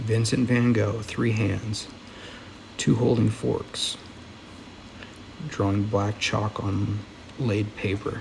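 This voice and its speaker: Soft-spoken man at fairly low pitch, monotone and flat, very slow in pace, with noticeable background noise. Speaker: audiobook reader. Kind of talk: reading aloud.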